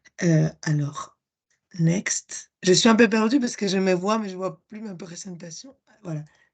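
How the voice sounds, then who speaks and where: A woman's medium-pitched voice, fairly slow, with ordinary pitch variation and big swings in loudness. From Spain. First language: Spanish (speaking French). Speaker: project presenter. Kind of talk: conference presentation. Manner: halting, many hesitations.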